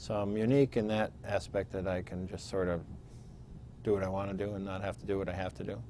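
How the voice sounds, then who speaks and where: A man talks at a very fast pace in a dark, mellow tone, his fairly low pitch carrying lively intonation over light background noise, the sound dry with no echo. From Pennsylvania. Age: 50s. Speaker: state legislator. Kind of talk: oral history interview. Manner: hesitant with fillers. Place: studio. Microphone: lapel.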